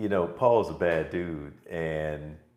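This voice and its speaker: A man's voice with audible room echo. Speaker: preacher. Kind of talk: sermon.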